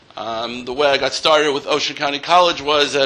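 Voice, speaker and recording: A man speaks at a fairly high pitch. Noticeable background noise runs underneath. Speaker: accountant and college lecturer. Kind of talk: workshop lecture. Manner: loud.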